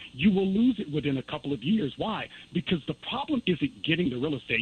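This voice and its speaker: A man talks at a very fast pace in a somewhat breathy voice, his pitch swinging very widely. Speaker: documentary filmmaker. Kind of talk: call-in radio interview.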